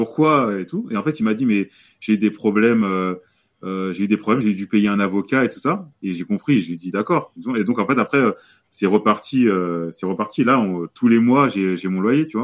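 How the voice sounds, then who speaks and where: A man's normal speaking voice at a fairly low pitch, with ordinary pitch variation and a moderate pace. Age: 30s. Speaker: real estate investor. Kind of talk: casual interview.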